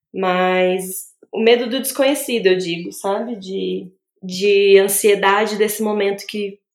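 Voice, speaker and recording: A woman with a medium-pitched voice talks very slowly, her intonation fairly even. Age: 30s. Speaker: obstetric nurse and new mother. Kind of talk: interview testimony about her birth.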